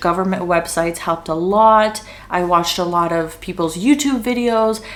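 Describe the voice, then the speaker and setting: This woman talks at a moderate pace with a Canadian accent and lively intonation, her pitch medium for a woman. Noticeable background noise runs beneath her voice. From Canada, Greater Toronto Area. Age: 20s. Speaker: content creator. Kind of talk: casual Q&A vlog.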